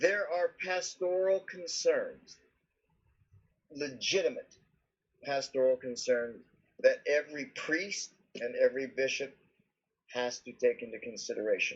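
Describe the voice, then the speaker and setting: The speech moves at a fairly slow pace, with long, frequent pauses and big swings in loudness. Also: man. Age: 60s. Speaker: subdeacon. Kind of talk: casual chat.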